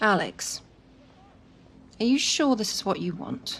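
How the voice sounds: In a put-on character voice, a woman speaks slowly at a medium pitch with big pitch swings, a fairly bright tone, vocal fry and a slightly husky edge.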